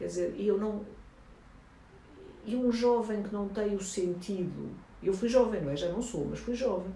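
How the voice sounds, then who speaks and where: Amid audible room echo, a woman at medium pitch speaks at a fairly quick pace with ordinary pitch variation. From Angola. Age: 70s. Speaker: journalist and documentary filmmaker. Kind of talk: interview. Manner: animated.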